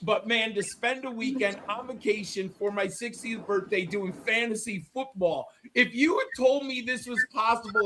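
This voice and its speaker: A man speaks in a raised, projected voice. His pitch sits high. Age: 50s. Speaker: fantasy football analyst. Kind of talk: casual chat.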